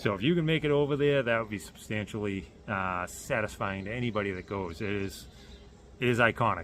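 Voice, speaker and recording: A man at a fairly low pitch with a bright, sharp tone, ordinary pitch variation and a very fast pace. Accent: Boston. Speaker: car builder vlogger. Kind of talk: casual vlog announcement. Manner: halting with many fillers.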